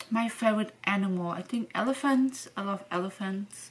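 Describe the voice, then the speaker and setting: A woman with a non-native accent, medium pitch and ordinary pitch variation. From Venezuela. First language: Spanish and German. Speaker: vlogger. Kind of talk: casual Q&A vlog. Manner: casual, hesitant with fillers.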